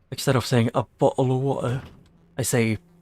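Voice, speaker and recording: A man with vocal fry talks at medium pitch and a fairly slow pace. His intonation is fairly even, in a dry, close sound with no echo. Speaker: vtuber gamer streamer. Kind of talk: casual live-stream chat.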